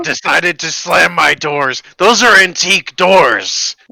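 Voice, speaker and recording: A man uses a put-on character voice pitched high. He speaks at a fairly slow pace. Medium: actual play. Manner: dry, deadpan.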